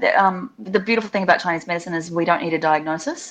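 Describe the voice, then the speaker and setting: This woman speaks with a New Zealand accent. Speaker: facial acupuncturist. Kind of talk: interview. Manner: animated.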